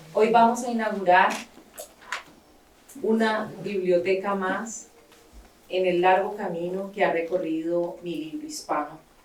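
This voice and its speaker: A woman speaks with long, frequent pauses, her voice carrying an audible room echo over noticeable background noise. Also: medium pitch for a woman, ordinary pitch variation, moderate pace. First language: Spanish. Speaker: writer and founder of a library nonprofit. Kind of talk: speech with consecutive interpretation. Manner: pausing for interpreter, short segments.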